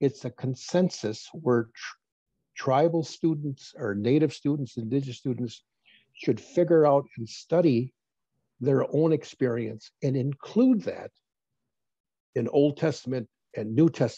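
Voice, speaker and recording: With a dry, close sound and no echo, a man speaks at a fairly high pitch in a dark, mellow, somewhat breathy tone, showing ordinary pitch variation and taking long, frequent pauses. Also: fairly slow pace. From northern Wisconsin, Lake Superior region. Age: 70s. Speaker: Native elder and former college teacher. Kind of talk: interview. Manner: halting, with false starts.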